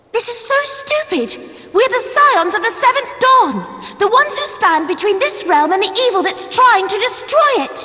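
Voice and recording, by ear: A woman does a put-on character voice with an extremely high pitch, a bright, sharp tone, big pitch swings, few pauses, and a moderate pace, over faint background noise.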